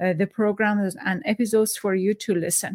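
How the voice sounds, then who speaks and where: A woman speaks with a Persian accent at a fairly high pitch. The sound is dry and close, with no echo. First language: Farsi. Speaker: podcast host. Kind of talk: interview. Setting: video call. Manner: halting.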